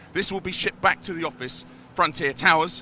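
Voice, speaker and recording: Speaking at a fairly quick pace in a British accent, a man uses a high pitch. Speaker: community manager hosting a live stream. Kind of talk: live stream walkthrough. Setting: trade show floor. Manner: animated.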